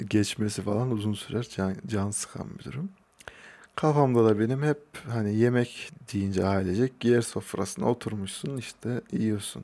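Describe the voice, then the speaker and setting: In an unremarkable speaking voice, a man talks at a moderate pace with fairly low pitch and ordinary pitch variation. The recording is very clean, with a silent background. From Turkey, Kayseri (Hacılar). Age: 20s. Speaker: podcaster. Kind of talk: solo monologue podcast. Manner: casual, with laughs.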